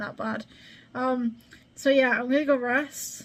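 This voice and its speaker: A woman speaks at a moderate pace in a high-pitched voice. Her intonation is flat and monotone. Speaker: YouTuber making tutorials. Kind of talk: casual vlog and tutorial.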